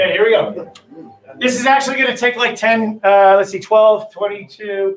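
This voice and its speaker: A man with a high voice talks at a fairly quick pace, his pitch rising and falling in an ordinary way. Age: 50s. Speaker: high school English teacher. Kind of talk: classroom lesson; guided meditation. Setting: classroom with students, livestreamed. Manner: fast.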